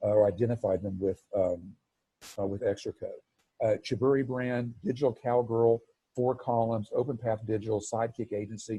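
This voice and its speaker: The voice has a dark, mellow tone, sounds somewhat breathy, and keeps a fairly even intonation. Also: man, medium pitch for a man. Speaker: marketing agency presenter. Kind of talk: webinar presentation. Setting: video call. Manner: fast.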